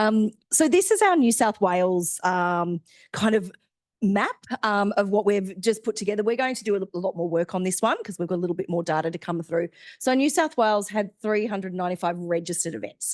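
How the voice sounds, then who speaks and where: A woman speaks at a fairly quick pace with ordinary pitch variation. The sound is dry and close with no echo, over a quiet background. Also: medium pitch for a woman. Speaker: science outreach organiser. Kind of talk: stakeholder briefing presentation. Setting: hybrid meeting, in person and online. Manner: loud; hesitant, many fillers.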